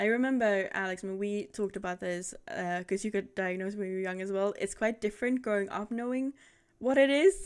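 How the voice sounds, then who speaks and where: A woman of medium pitch talks at a fairly quick pace in an unremarkable speaking voice, with ordinary pitch variation. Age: 30s. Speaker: streamer, talk show host. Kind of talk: casual chat. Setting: live stream with video call guest.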